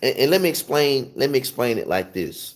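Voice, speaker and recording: In a Southern US accent, a man talks with lively intonation. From US South. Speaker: gospel piano teacher. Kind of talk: livestream tutorial talk. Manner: casual, conversational with fillers.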